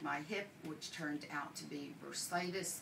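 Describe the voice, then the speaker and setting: Very slowly and in a flat monotone, a woman talks with a very deep, low pitch, with audible room echo around her. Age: 60s. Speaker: patient giving testimonial, nurse. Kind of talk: testimony.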